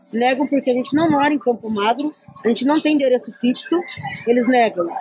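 Over noticeable background noise, the speech races along at a very fast pace. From Curitiba region, Paraná, southern Brazil. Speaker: housing activist. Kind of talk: interview testimony.

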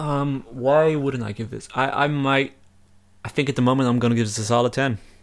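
Talking at a fairly quick pace, a man uses a plain, everyday voice at a medium pitch with fairly even intonation. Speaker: podcast host. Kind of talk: casual chat.

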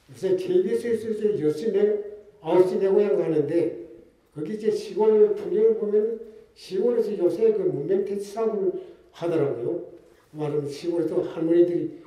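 With noticeable background noise behind him, a man speaks at a moderate pace in a high pitch. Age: 80s. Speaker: former political prisoner. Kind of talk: speech.

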